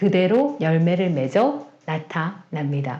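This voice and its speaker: A woman in a Gyeongsang accent, with very wide pitch swings and audible room echo. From South Korea, Gyeongsang region. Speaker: Bible teacher, pastor's wife. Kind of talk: sermon-style Bible teaching.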